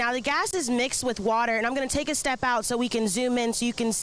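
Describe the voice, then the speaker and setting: Against noticeable background noise, a woman with a high pitch talks at a very fast pace. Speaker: news anchor and reporter. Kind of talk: field news report. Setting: outdoors.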